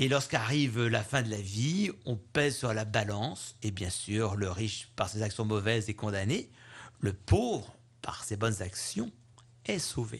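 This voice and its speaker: Somewhat breathy and warm in tone, a man speaks at a fairly slow pace with a fairly low pitch and ordinary pitch variation. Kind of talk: homily, a spoken Gospel commentary, reflective and pastoral. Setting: radio studio interview. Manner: earnest, measured, explanatory, warm.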